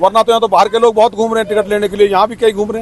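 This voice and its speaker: Over noticeable background noise, a man with a high pitch sounds dry and close, with no echo. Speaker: local party worker and wrestler. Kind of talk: campaign interview.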